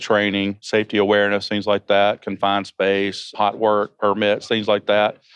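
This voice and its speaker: A man with a Georgia accent and a fairly low pitch speaks at a moderate pace. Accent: Southern US (Georgia), noticeable. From Georgia, US South. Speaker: emergency preparedness manager. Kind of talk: interview. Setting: conference venue.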